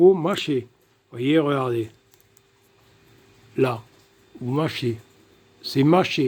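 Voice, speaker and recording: A man is speaking. His pace is very slow. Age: 60s. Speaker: DIY scrap recycler. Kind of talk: tutorial. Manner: casual, halting with fillers.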